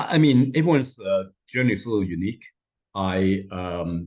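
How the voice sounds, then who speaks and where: Fairly quick, lively-toned speech from a man with a very deep, low pitch. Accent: non-native. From Hong Kong. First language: not English. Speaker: lawyer, former engineer, panelist. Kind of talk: panel discussion. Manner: halting.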